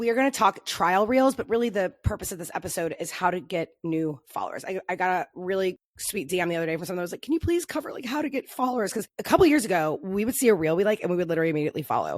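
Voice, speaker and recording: A woman speaks at a very fast pace in an animated tone. Her fairly low pitch carries lively intonation. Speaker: social media marketing podcaster. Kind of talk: podcast monologue.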